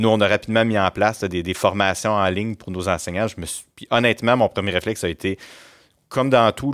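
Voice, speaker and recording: A man speaks in a plain, everyday voice with a fairly low pitch and fairly even intonation. The recording is very clean with a silent background and a dry, close sound with no echo. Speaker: school principal. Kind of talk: interview. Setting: studio.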